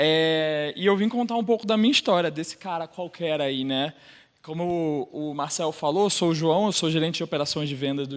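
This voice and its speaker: With a Rio de Janeiro accent, a man talks at a moderate pace in a fairly high pitch with ordinary pitch variation. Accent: carioca. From Brazil, Rio de Janeiro. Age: 30s. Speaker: sales operations manager and LGBT group leader. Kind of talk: personal talk on stage.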